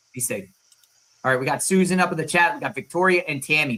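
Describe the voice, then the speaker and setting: A man speaks with a Long Island accent and a bright, sharp tone. His pitch varies in an ordinary way. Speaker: livestream host. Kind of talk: casual chat.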